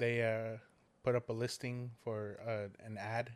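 At a medium pitch, a man speaks with monotone, flat intonation. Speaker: guest. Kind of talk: casual chat. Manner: loud.

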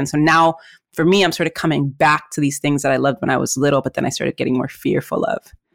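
A woman with a Spanish accent is speaking. She goes at a very fast pace. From Mexico City. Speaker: entrepreneur and podcast host. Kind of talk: casual chat. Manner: warm, enthusiastic.

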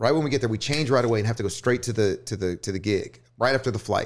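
A man with a Texan accent at a medium pitch and ordinary pitch variation, on a very clean recording with a silent background. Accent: Texan American. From US South, northwest Houston suburbs, Texas. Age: 30s. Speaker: DJ. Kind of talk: casual chat. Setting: studio.

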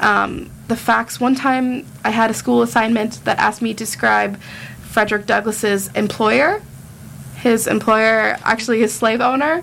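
A woman's plain, everyday voice, fairly high in pitch, at a fairly slow pace with ordinary pitch variation and very even loudness. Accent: American. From United States. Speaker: student guest. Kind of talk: casual chat. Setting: studio.

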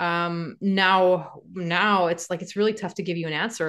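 A woman has an unremarkable speaking voice, pitched fairly low. She talks at a moderate pace against a quiet background. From Canada, Montreal. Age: 40s. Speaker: real estate investor and author. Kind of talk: casual interview.

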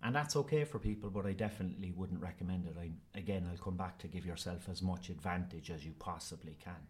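Speaking very fast with hardly any pauses, a man with a Cork accent has a very deep, low pitch and a somewhat breathy sound. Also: ordinary pitch variation. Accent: Cork Irish. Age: 40s. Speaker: actor. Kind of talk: casual interview. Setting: school.

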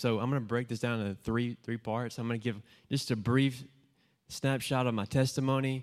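A man with an American accent speaks in a plain, everyday voice at medium pitch and a moderate pace, with fairly even intonation. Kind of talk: testimony. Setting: church gathering with audience.

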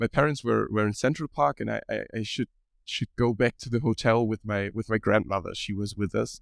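A man's medium-pitched voice with a German accent, recorded dry and close with no echo. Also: very clean recording, silent background. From Germany. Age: 20s. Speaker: podcast co-host and university student. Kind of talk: casual chat. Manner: halting.

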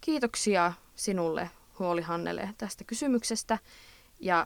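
With an Eastern Finnish accent, a woman talks at a very slow pace in a fairly low pitch. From Eastern Finland. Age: 20s. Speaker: podcast host, student. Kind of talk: casual advice monologue. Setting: recording in a closet at night.

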